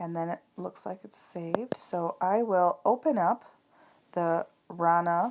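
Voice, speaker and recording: A woman speaks at a fairly slow pace in a fairly low pitch with ordinary pitch variation and big swings in loudness. She has a normal speaking voice. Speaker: craft app tutorial maker. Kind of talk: tutorial.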